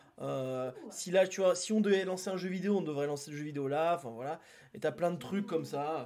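Here is a man with an unremarkable speaking voice and a fairly high pitch. He moves at a fairly quick pace with ordinary pitch variation. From southern France, near Toulouse. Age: 30s. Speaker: streamer. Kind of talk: casual chat. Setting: live stream from his apartment.

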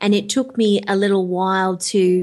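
A woman speaks at a medium pitch. She has an Australian accent. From Australia, rural. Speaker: life coach. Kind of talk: interview.

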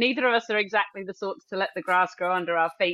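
A woman's very fast speech with lively intonation. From Wales (Cardiff). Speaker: agriculture podcast co-host. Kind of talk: casual chat.

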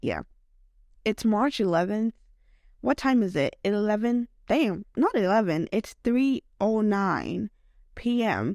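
In a very clean recording with a silent background and a dry, close sound with no echo, a woman with a fairly high pitch and ordinary pitch variation speaks at a very slow pace with long, frequent pauses and very even loudness. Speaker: podcast host. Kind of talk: casual solo monologue. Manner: rambling, filler-heavy with many likes; laughs often.

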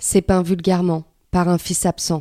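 A woman's dark, mellow tone at a fairly slow pace, on a very clean recording with a silent background. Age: 30s. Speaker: fiction author and narrator. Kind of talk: scripted narration of a fiction monologue.

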